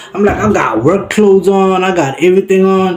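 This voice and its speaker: An animated man with a high pitch, at a moderate pace, music in the background. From South Africa, Limpopo. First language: Sepedi. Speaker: vlogger. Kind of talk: storytime.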